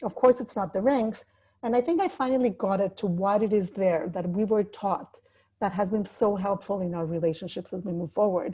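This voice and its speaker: Her pitch varying in an ordinary way, a woman talks with a somewhat breathy voice. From Mexico City. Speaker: life coach. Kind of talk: webinar talk.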